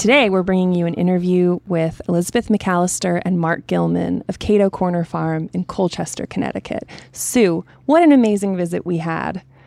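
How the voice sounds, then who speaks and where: A woman's dark, mellow tone, fairly low in pitch, with ordinary pitch variation at a moderate pace, dry and close with no echo. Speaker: podcast host. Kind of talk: podcast conversation.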